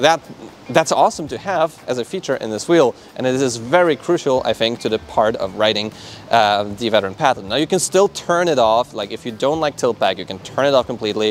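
Over light background noise, a man talks at a fairly quick pace with lively intonation, and the sound is dry with no echo. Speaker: electric unicycle reviewer. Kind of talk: product review talk to camera. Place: street. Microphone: lapel.

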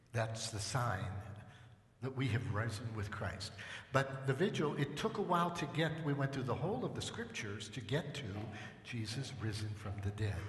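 Strong room echo surrounds a man speaking at a moderate pace with medium pitch and big pitch swings.

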